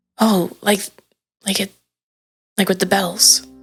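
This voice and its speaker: A raspy, put-on character voice at a middle pitch and fairly slow pace, faint music in the background. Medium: actual play. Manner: hesitant, stammering.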